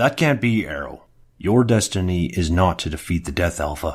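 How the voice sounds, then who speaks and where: In a raspy, put-on character voice, a man speaks at a moderate pace and a very deep, low pitch, on a very clean recording with a silent background. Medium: audio drama. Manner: commanding, dignified.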